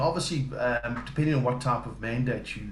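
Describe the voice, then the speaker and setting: With a South African accent, a man talks at a fairly quick pace amid noticeable background noise and audible room echo. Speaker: business development staff, former estate agent. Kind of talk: interview. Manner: hesitant, many fillers.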